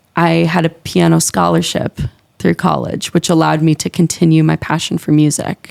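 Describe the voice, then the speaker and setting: In a slight Minnesota accent, a woman talks at a moderate pace with very even loudness, in a dry, close sound with no echo. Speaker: music teacher. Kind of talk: casual interview.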